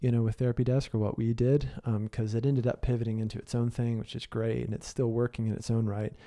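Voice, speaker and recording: Medium in pitch, a man speaks at a very fast pace. His tone is dark and mellow, and the background is quiet. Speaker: podcast host and business coach. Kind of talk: solo podcast monologue. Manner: casual with many fillers.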